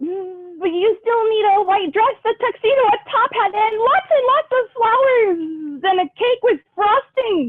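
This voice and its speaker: In a put-on character voice, a woman speaks at a moderate pace with an extremely high pitch. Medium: read story. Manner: eager, insistent.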